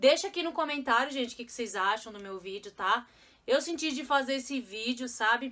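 Speaking at a fairly quick pace, a woman uses a high voice. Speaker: mother vlogger. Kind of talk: casual vlog chat. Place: home room. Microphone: phone near.

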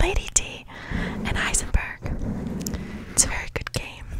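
A woman speaks at a fairly quick pace, her dry, echo-free sound set against loud background noise. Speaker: ASMR creator. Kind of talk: soft-spoken ASMR chat. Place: home room. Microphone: studio mic.

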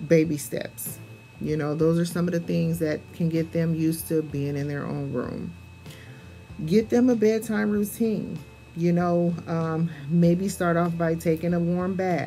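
A woman's fairly low voice at a fairly slow pace, with faint music in the background. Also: ordinary pitch variation. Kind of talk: casual advice talk. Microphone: phone near.

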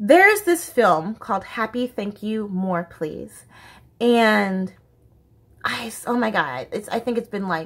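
Lively intonation marks this woman's speech in an American accent. Her pitch is fairly high and her pace very slow. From United States. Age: 20s. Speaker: YouTuber. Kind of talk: casual vlog monologue. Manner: animated, laughs often. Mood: candid, passionate. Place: home room. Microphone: phone near.

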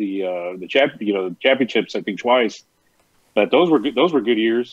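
Over a quiet background, a man with a South Texas accent talks at a moderate pace, the sound dry with no echo. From US South. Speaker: guest co-host, wrestling fan. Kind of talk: casual interview. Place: home room. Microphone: earbuds.

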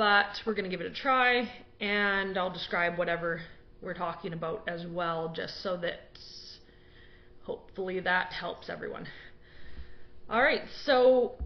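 A woman at a fairly slow pace, with long, frequent pauses and ordinary pitch variation. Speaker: blogger. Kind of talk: casual talk on a topic. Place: home room. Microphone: webcam.

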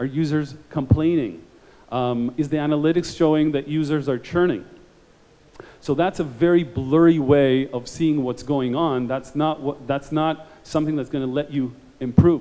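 A man's fairly high voice with a dark, mellow tone and fairly even intonation. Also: moderate pace.

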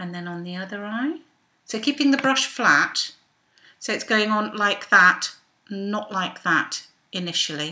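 The woman's tone is bright and sharp. She keeps a moderate pace. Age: 50s. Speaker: belly dancer; makeup vlogger. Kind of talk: makeup tutorial talk to camera. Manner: casual, chatty. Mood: relaxed, self-deprecating humour. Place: home room. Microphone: webcam.

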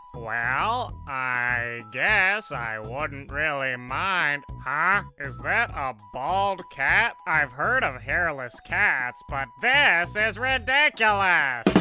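A man talking very slowly with hardly any pauses and very wide pitch swings, clear music playing behind him. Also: fairly high pitch for a man. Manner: warm, encouraging.

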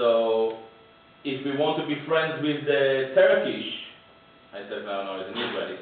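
Strong room echo and light background noise accompany a man speaking at a moderate pace and fairly high pitch, with ordinary pitch variation. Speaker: political speaker. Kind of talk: public talk with Q&A. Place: meeting room.

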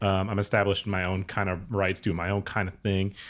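A man with an American accent at a very fast pace, against a quiet background. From US Upper Midwest, Minnesota/Wisconsin area; US Upper Midwest. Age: 30s. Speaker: podcast host. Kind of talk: casual interview chat. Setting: recorded in person in Hollywood. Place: home room. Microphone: studio mic.

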